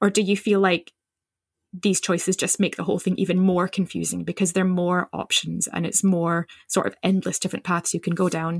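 Dry and close with no echo, this very clean recording has a silent background. A woman at medium pitch uses an ordinary speaking voice at a moderate pace. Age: 40s. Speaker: midwife and podcast host. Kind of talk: casual chat.

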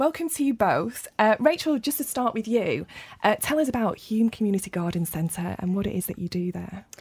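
A woman's somewhat breathy, fairly high voice with very wide pitch swings and a fairly quick pace. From Rochdale, northern England. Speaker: podcast host. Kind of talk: podcast interview. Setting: studio.

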